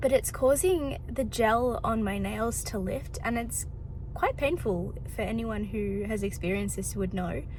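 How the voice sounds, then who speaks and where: A woman with an Australian accent at a fairly slow pace, with audible room echo and noticeable background noise. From Melbourne, Australia. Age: 20s. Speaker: vlogger. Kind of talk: casual vlog talk to camera.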